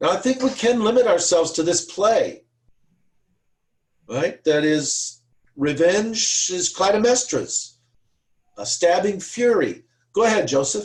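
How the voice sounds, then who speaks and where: A man with an American accent speaks in a high voice at a fairly slow pace. His intonation is lively. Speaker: seminar tutor. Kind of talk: online seminar discussion. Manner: halting, many fillers.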